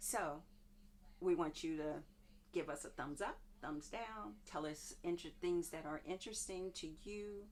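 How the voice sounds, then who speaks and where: A woman speaks at a fairly slow pace in a fairly low pitch. Her pitch varies in an ordinary way. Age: 60s. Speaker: nurse. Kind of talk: casual chat. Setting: home kitchen. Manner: hesitant, many fillers.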